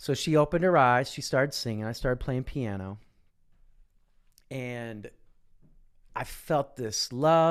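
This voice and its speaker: A man speaks with a Midwestern American accent at a fairly slow pace, with ordinary pitch variation. Long pauses come often, and the recording is very clean with a silent background. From Midwestern US, Kansas. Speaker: voice and speaking coach, former singing teacher. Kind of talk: interview answer.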